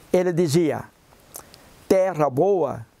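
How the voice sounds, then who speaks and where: The pace is very slow. Pitch moves up and down an ordinary amount. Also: man. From southern Brazil, Santa Catarina (Porto União). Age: 70s. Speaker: biologist and researcher, retired professor. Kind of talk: interview.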